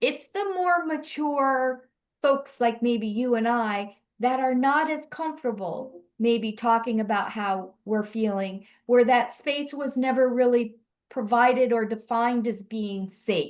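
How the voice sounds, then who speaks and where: Over a quiet background, a woman with an American accent speaks at a high pitch and a fairly slow pace. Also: ordinary pitch variation. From Central Florida. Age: 60s. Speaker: mental health advocate. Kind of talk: panel discussion.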